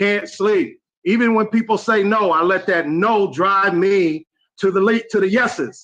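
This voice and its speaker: A man's raised, projected voice, high in pitch, with a bright, sharp tone and ordinary pitch variation. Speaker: network marketing participant. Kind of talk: live video call testimony.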